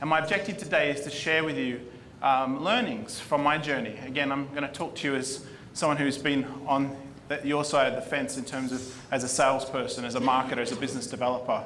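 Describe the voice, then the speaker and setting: A man with an Australian accent talks very fast at a fairly high pitch, with audible room echo and noticeable background noise. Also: ordinary pitch variation. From Australia, Sydney. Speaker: marketing executive. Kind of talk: conference talk.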